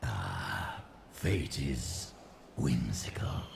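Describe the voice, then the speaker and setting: Over clear background noise, a man growls in a put-on character voice with a very deep, low pitch. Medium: machinima. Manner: sly, mocking.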